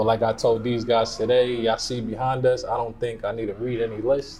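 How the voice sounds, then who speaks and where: A man's medium-pitched voice in an American accent, very fast and monotone, with flat intonation. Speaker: podcast host. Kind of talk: casual chat. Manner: stuttering.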